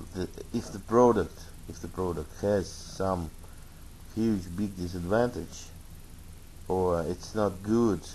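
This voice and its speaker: A man's very deep, low voice in a Russian accent, very slow with long, frequent pauses and fairly even intonation. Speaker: tech reviewer. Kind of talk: product review. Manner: halting, many fillers.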